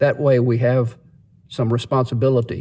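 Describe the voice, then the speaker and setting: A man speaks at medium pitch and a fairly slow pace. His tone is dark and mellow, and somewhat breathy. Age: 60s. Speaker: vlogger. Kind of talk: casual monologue. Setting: in a parked car.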